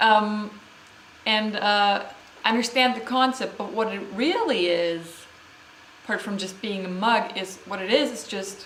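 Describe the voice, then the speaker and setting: In a German accent, a woman with a fairly high pitch speaks fairly slowly with long, frequent pauses and big swings in loudness, amid audible room echo and noticeable background noise. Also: ordinary pitch variation. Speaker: vlogger. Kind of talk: unscripted vlog monologue. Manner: hesitant, many fillers.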